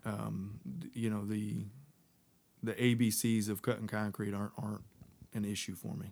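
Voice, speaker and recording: Long, frequent pauses break up a voice with an American accent that keeps a moderate pace and fairly even intonation. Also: man, fairly low pitch for a man. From Texas. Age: 30s. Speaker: business owner. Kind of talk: interview.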